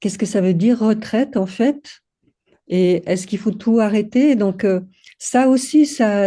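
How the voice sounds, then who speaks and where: In a dark, mellow tone, a woman talks with ordinary pitch variation. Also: quiet background. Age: 60s. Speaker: women's circle co-facilitator. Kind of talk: casual chat. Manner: halting.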